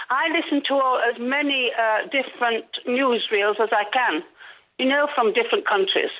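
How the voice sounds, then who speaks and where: Lively intonation carries this moderate-paced speech in an English accent, its loudness very even. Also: woman, high pitch for a woman. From England. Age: 80s+. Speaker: caller. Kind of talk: phone-in call. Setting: phone call.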